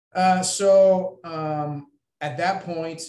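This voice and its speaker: This man has a US Midwestern accent. His pitch variation is ordinary. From Iowa, Ames. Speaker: federal law enforcement agent. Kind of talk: interview. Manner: halting, many fillers.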